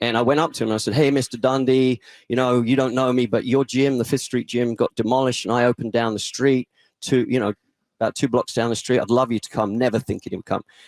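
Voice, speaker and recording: In an English accent, a man speaks very fast at medium pitch with monotone, flat intonation, in a dry, close sound with no echo. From England. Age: 50s. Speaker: boxing gym owner. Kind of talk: casual interview chat.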